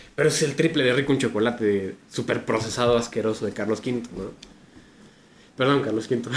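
A man with a Mexican accent at a moderate pace, medium in pitch, with ordinary pitch variation. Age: 40s. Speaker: podcast co-host. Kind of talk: casual chat.

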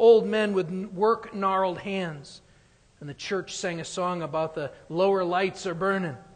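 Simply plain reading aloud.

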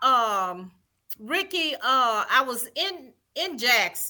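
In a Southern US accent, a woman projects a raised, high-pitched voice with a bright, sharp tone at a very slow pace. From Mississippi, Vicksburg. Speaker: former prison guard. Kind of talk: interview.

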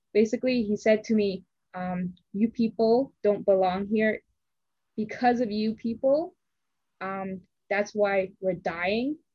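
Somewhat breathy, a woman speaks at a fairly slow pace with ordinary pitch variation and long, frequent pauses. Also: medium pitch for a woman. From Toronto. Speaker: podcast host. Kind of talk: casual discussion.

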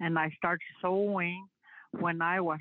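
Speaking at a very slow pace, a woman has a fairly low voice. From Northwest Territories, Canada. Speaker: artist. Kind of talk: testimony.

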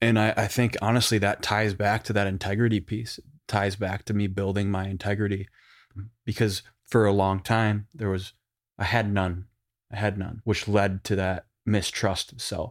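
A man with a Western New York accent talks at a moderate pace in a fairly low, monotone, flat voice, on a very clean recording with a silent background. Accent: Western New York (Inland North) American. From Buffalo, New York. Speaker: advertising creative director. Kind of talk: coaching session. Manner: casual.

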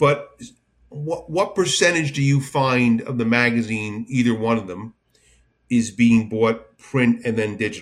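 A man speaks with an American accent at a fairly slow pace, his pitch medium and its variation ordinary. He has an unremarkable speaking voice. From New Jersey. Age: 60s. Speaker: podcast host. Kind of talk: casual interview chat.

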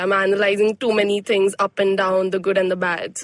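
This is a woman with a normal speaking voice. Her pitch is medium and her pace is moderate. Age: 20s. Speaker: pilot. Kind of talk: casual chat.

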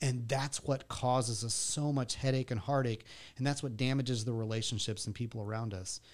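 Very clean recording, silent background, a man with an American accent at a medium pitch and a fairly quick pace. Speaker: church member in recovery. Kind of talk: casual interview chat. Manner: upbeat, positive.

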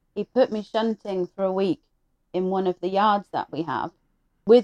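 A dark, mellow tone in an English accent, with ordinary pitch variation. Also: woman, dry, close sound with no echo. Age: 30s. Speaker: truck driver. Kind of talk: casual chat.

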